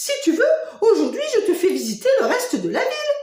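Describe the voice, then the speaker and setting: A woman puts on a squeaky character voice with an extremely high pitch at a fairly quick pace. There is a slight echo. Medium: read story.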